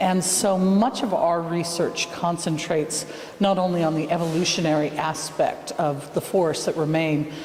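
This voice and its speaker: An American accent at a moderate pace over noticeable background noise. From United States. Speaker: field education centre director. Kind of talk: interview.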